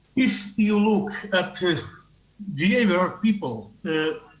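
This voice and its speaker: There is noticeable background noise and audible room echo. A man speaks very slowly in a high voice with ordinary pitch variation. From Portugal. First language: Portuguese. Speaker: tourism researcher. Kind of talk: conference talk via video link. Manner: halting.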